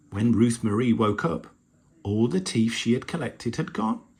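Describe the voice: Plain reading out loud in a fairly even intonation.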